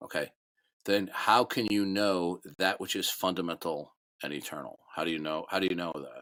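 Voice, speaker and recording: A man's very deep, low voice with a bright, sharp tone, ordinary pitch variation and a moderate pace. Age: old. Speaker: online debate room moderator. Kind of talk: heated debate. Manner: halting, repetitive stammering.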